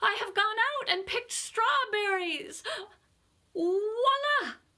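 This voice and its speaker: Putting on a squeaky character voice, a woman talks at a fairly slow pace with extremely high pitch. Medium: read story.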